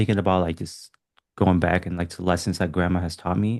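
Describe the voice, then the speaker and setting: Over a quiet background, a man with a non-native accent talks in a very deep, low voice. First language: not English. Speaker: writer. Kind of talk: casual chat. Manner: halting.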